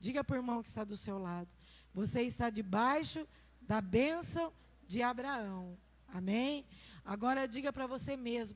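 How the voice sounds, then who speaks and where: Pausing long and often, a woman with a fairly high voice and lively intonation speaks at a fairly slow pace. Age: 60s. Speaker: pastor. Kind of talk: sermon.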